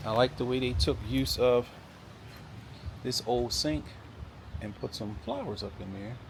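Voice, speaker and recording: In an American accent, a man with a medium-pitched voice and vocal fry speaks at a fairly slow pace with lively intonation, big swings in loudness and long, frequent pauses. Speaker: real estate agent / video host. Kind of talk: property walkthrough tour. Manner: casual, conversational.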